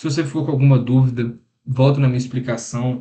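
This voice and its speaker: A dark, mellow, somewhat breathy voice moves at a fairly quick pace in a monotone, flat intonation. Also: man. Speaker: computer science student. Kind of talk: lecture. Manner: fast; casual.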